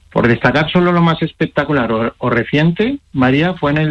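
A man's intonation is lively as he keeps a moderate pace in a plain, everyday voice. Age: 40s. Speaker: chess player and coach. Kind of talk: interview.

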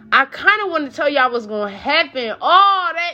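A woman speaks in a raised, projected voice, her pitch swinging very widely. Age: 20s. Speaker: podcast host. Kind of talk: casual monologue.

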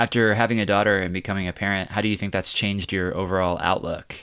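Over a very clean recording with a silent background, a man speaks in an ordinary speaking voice at a fairly low pitch. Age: 30s. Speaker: podcast host. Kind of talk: casual interview.

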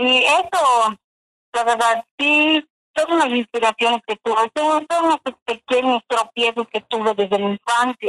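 A woman with a high pitch and a bright, sharp tone speaks at a fairly slow pace with ordinary pitch variation, her sound dry and close with no echo. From Yucatán, Mexico (Chumayel). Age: 60s. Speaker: contest winner, adult learner. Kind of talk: radio interview testimony.

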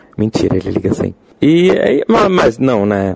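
A man's medium-pitched voice with lively intonation over noticeable background noise. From Brazil, Rio de Janeiro. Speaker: game designer and drag performer. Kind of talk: casual interview chat. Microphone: poor recording quality early on.

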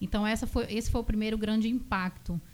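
Ordinary pitch variation runs through a plain, everyday voice. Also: woman. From Bahia, Brazil (Vitória da Conquista; born in São Paulo). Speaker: physiotherapist. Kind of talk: radio interview. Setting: radio studio.

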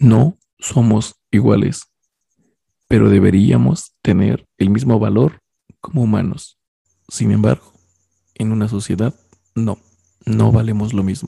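Vocal fry runs through a man's dark, mellow voice at a medium pitch. He speaks at a fairly slow pace. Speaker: podcast co-host. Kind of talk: casual chat.

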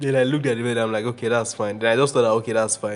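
Music plays behind a man whose voice has ordinary pitch variation. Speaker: podcast host, guest on own podcast. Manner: fast talker.

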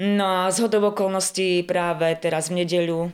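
Her voice sits at a fairly low pitch, a woman speaking at a moderate pace in a monotone, flat intonation. The recording is very clean, with a silent background. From western Slovakia, near Zlaté Moravce. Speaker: art school teacher and wedding folk group leader. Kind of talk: casual chat.

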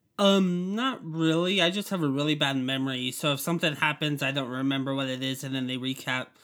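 This man has an unremarkable speaking voice with an American accent. He talks at a fairly quick pace and a fairly high pitch, with ordinary pitch variation. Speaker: guest. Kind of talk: casual chat.

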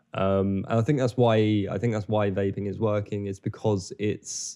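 With an English accent, a man speaks at a moderate pace in a fairly low pitch and a dark, mellow tone. His intonation is fairly even over a quiet background. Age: 20s. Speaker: filmmaker. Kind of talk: casual chat.

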